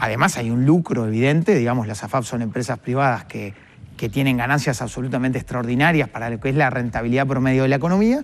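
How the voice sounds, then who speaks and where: At a very fast pace, a man talks with medium pitch and ordinary pitch variation. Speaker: economist, workers' representative. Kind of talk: TV interview. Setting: TV studio. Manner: explanatory, measured.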